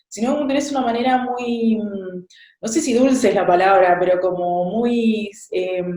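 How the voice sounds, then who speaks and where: In an Argentine accent, a woman with a fairly high pitch and a dark, mellow tone speaks at a fairly slow pace with ordinary pitch variation and audible room echo. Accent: Argentine Spanish (voseo). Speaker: interviewer, channel host. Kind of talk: interview.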